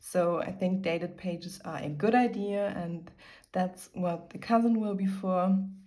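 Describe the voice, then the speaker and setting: Speech comes with a German accent at a fairly slow pace. The intonation is fairly even, and room echo is audible. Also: woman, medium pitch for a woman. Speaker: lifestyle YouTuber. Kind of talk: casual chat.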